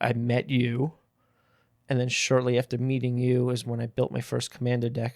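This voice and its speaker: In an American accent, a man is talking. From New York City. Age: 30s. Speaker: card game player. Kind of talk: casual chat.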